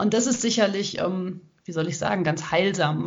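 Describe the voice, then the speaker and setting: Amid audible room echo, a woman speaks at a fairly slow pace in a fairly low voice with vocal fry. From western Germany (Hagen, Ruhr area). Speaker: ultrarunner and author. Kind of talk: interview. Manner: hesitant fillers (ähm).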